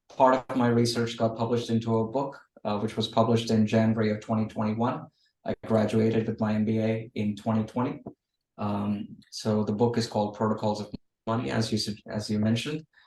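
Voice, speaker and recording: The speech moves at a fairly quick pace. Its intonation is monotone and flat. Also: man, medium pitch for a man. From India, raised half in Australia. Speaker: finance author and venture capitalist. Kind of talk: interview. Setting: video call. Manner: hesitant, many fillers.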